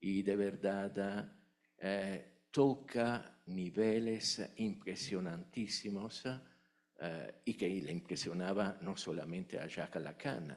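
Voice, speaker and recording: Speaking in an Italian accent, a man goes at a very slow pace, with a fairly low pitch and ordinary pitch variation. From Italy. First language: Italian (speaking Spanish). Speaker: academic, conference attendee asking question. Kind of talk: Q&A at academic conference. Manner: hesitant, many fillers.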